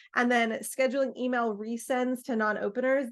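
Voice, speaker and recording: In a normal speaking voice, the speaker talks at a fairly quick pace with fairly even intonation against a quiet background. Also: woman. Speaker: marketing agency presenter. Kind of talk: webinar presentation.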